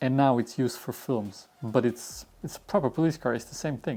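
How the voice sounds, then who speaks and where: The speaker has a Swedish accent and moves at a fairly quick pace. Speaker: YouTuber, car builder. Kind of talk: casual Q&A video.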